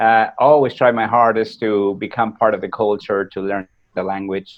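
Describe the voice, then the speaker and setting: A man with a Peruvian accent, fairly low pitch, and fairly even intonation. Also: moderate pace. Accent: Spanish (Peruvian) accent, never went away. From Peru, then US from age 14. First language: Spanish. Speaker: war veteran and motivational speaker. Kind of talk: podcast interview, personal story. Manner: hesitant, many fillers.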